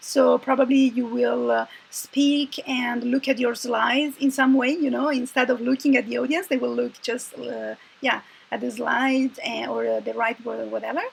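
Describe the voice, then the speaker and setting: The speaker has an Italian accent, and noticeable background noise runs under the voice. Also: woman, moderate pace. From Italy. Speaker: confidence coach. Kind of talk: casual chat. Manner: hesitant, many fillers.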